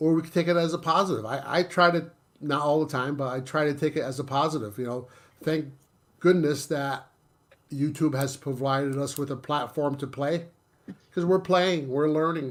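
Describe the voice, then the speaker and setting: Fairly even intonation in a man's fairly high voice, moving at a moderate pace. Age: 60s. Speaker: YouTuber. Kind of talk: casual chat. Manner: halting.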